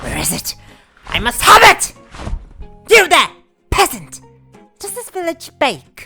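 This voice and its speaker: A put-on character voice speaks at an extremely high pitch and a fairly slow pace. Faint music plays in the background. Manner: demanding, shouting.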